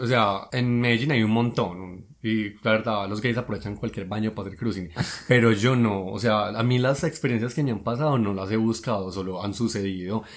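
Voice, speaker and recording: Here a man with an unremarkable speaking voice talks at a fairly low pitch and a fairly quick pace. His pitch varies in an ordinary way, and he makes hardly any pauses. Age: 20s. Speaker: guest storyteller. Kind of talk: casual chat.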